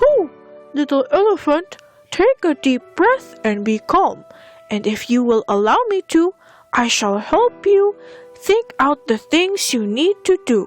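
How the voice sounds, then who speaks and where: A woman puts on a character voice at a fairly slow pace, with faint music in the background. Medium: read story. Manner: calm, soothing.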